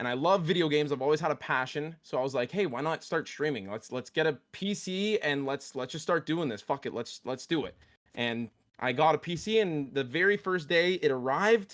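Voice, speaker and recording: Here is a man with a Canadian accent and an unremarkable speaking voice. He speaks at a fairly high pitch and a fairly quick pace, with lively intonation. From Canada. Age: 20s. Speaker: streamer. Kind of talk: casual chat.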